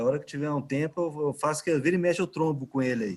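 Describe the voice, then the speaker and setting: A man with a Minas Gerais accent talks at a very fast pace and a fairly high pitch, with ordinary pitch variation. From Minas Gerais, Brazil. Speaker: innovation manager at a construction company. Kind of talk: casual chat.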